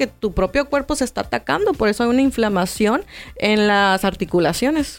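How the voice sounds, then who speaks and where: Lively intonation in a woman's fairly high-pitched voice. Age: 30s. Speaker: nutritionist. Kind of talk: interview.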